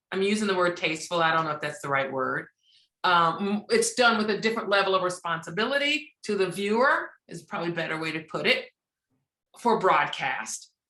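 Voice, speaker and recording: Her tone bright and sharp, a woman speaks at a moderate pace with lively intonation. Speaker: radio host. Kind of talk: interview answer. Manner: soft-spoken, direct; positive, encouraging.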